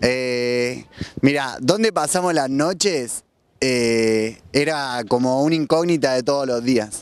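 Recorded dry with no echo, a man speaks very slowly with ordinary pitch variation. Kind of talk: interview answer. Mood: warm, enthusiastic. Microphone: handheld.

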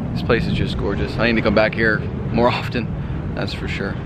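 Loud background noise is present while a man speaks at a fairly quick pace. The sound is dry with no echo. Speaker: car vlogger. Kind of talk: casual vlog chat. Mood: upbeat, impressed. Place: waterside. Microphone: phone near.

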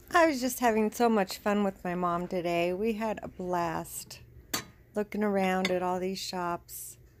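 Over light background noise, a woman speaks with ordinary pitch variation. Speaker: vlogger shopping with her mother. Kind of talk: casual vlog chat. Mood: cheerful, enthusiastic. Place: shop. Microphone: phone near.

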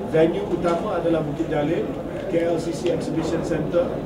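At a moderate pace, a man keeps talking through loud background noise. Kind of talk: interview answer. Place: office.

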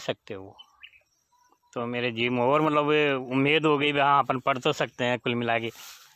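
A man's fairly high, bright, sharp voice at a moderate pace, with a dry sound and no echo. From Tonk district, Rajasthan, India; Rajasthan, India. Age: 50s. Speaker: schoolteacher. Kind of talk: personal life story. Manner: halting. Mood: warm, relaxed storytelling. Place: open country. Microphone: phone near.

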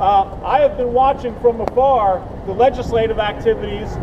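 Over noticeable background noise, a man with an extremely high pitch talks at a moderate pace with ordinary pitch variation. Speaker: speaker. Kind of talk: public speech. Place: street. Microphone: camera far.

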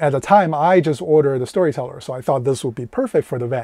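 A man is recorded with a dry sound and no echo. The background is quiet. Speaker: van life reviewer. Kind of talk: product review vlog. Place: car. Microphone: lapel.

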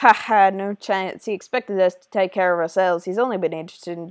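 The reading voice here is unforced.

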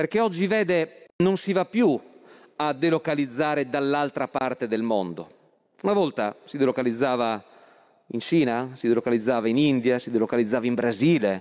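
A man's lively intonation and moderate pace come through against a quiet background. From Friuli Venezia Giulia, Italy. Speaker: politician, member of parliament. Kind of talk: parliamentary speech. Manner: halting, with many fillers. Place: hall. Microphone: podium.

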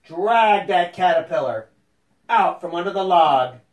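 Plain reading aloud with ordinary pitch variation comes through over a quiet background.

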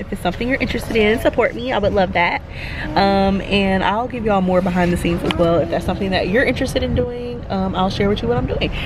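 A very fast-talking woman amid noticeable background noise. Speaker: vlogger. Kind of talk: casual vlog chat. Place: car. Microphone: phone near.

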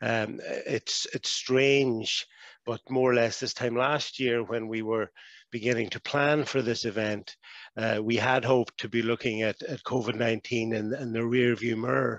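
Monotone, flat intonation at a fairly slow pace, with a dry sound with no echo and a quiet background. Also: man. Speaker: conference host opening remarks. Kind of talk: formal welcome speech. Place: home room. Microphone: headset.

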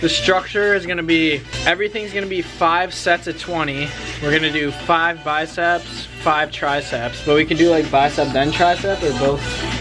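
Someone speaks at a moderate pace with clear music in the background. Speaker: fitness vlogger. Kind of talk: casual vlog chat. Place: garage. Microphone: phone near.

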